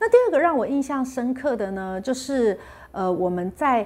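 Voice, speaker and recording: The recording is very clean, with a silent background. A woman talks at a high pitch with very wide pitch swings. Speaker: health channel host. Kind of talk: casual vlog talk. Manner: clear articulation.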